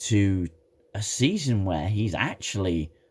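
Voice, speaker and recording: At a fairly slow pace, a man talks in a somewhat breathy voice. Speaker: TV show reviewer. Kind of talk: casual talk to camera.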